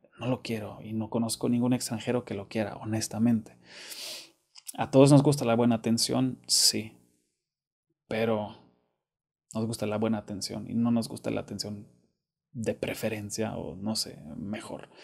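In a Monterrey accent, a man speaks at a medium pitch with fairly even intonation. He leaves long, frequent pauses against a quiet background. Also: moderate pace. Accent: Monterrey (regio) Spanish. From Germany. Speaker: YouTuber. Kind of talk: casual monologue to camera. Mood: earnest, somewhat upset.

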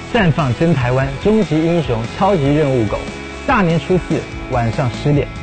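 Over clear music in the background, a man talks at a moderate pace with lively intonation. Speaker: singer and guest narrator. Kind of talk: TV promo read. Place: studio.

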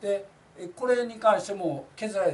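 The voice heard is a man's. A light layer of background noise is present. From Kansai, Japan. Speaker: labor union representative. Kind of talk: informal talk on a labor case. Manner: rambling, many fillers. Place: office.

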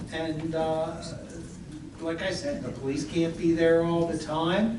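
A man with a high pitch speaks at a very slow pace and fairly even intonation. Noticeable background noise and audible room echo surround him. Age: 60s. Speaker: local official at council meeting. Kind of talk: public meeting discussion.

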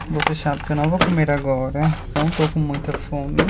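Loud background noise fills the recording. The voice is a man's. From Ceará, Brazil. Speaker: cruise ship crew member. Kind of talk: casual vlog talk to camera. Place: bathroom. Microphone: phone near.

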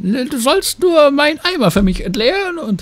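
Moderate-paced speech from a man in a put-on character voice. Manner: sly, mocking, gruff.

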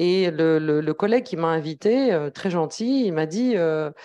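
Over a quiet background, a woman talks with a dark, mellow tone and lively intonation. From Algeria. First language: Arabic and Kabyle (speaking French). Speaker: academic researcher; speaker. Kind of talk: academic talk at round table. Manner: hesitant, many fillers. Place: meeting room. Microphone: handheld.

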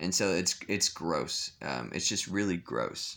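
Very slowly, a man speaks in a very deep, low voice with vocal fry and a bright, sharp tone, his pitch varying in an ordinary way. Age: 20s. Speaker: vlogger. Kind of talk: vlog monologue. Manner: halting, many fillers and repetitions. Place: home room. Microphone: phone near.

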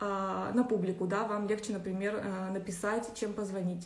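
The voice is somewhat breathy. Room echo is audible. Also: woman. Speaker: astrology teacher. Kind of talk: lecture. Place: home room. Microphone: phone near.

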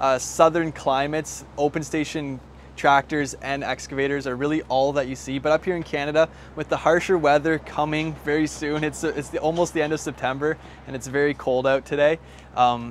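Delivered at a fairly quick pace, the flat, monotone speech sounds dry with no echo over light background noise. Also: man. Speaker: equipment dealer salesperson. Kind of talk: product explainer talk. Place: street. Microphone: lapel.

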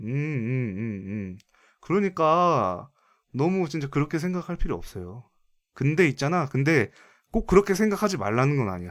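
Very wide pitch swings at a moderate pace, in a very clean recording with a silent background. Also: man, fairly high pitch for a man. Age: 20s. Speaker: gaming streamer taking viewer calls. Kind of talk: casual chat.

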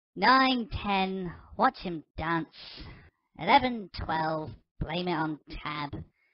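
In a put-on character voice, a female-sounding speaker talks very slowly at a middle pitch with a grumpy tone. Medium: audio drama. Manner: grumpy, sarcastic; sing-song taunting while counting.

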